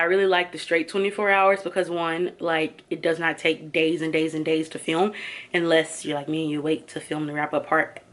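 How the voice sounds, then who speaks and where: In a fairly low voice, a woman speaks with monotone, flat intonation. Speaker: book vlogger. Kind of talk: casual vlog wrap-up. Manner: fast.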